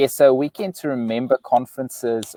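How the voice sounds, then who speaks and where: A moderate pace in a South African accent, with a dry, close sound and no echo. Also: man. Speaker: relationship author and speaker. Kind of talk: live interview. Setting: live video stream.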